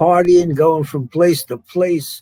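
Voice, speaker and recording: Very slow and even in intonation, a voice with an American accent and a dark, mellow tone comes through a very clean recording with a silent background and a dry, close sound with no echo. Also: man. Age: 80s+. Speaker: singer. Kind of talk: casual chat.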